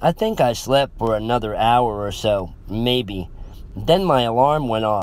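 Text read in an unforced reading voice

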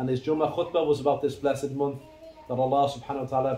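Over light background noise and audible room echo, a man talks very fast in a monotone, flat intonation. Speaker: religious teacher. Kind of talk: sermon. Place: hall.

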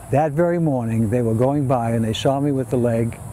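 A man talks at a fairly quick pace over noticeable background noise. The sound is dry, with no echo. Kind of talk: interview answer. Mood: warm, reflective storytelling. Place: street.

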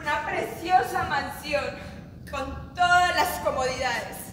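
The woman's high-pitched voice comes with audible room echo and light background noise. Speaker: stage actress. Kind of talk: dramatic theatre monologue. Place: stage.

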